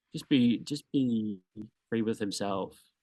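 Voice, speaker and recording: Against a quiet background, a man with an Australian accent speaks in a dark, mellow tone. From Australia, Townsville. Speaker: dancer and drag performer. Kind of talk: interview. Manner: halting.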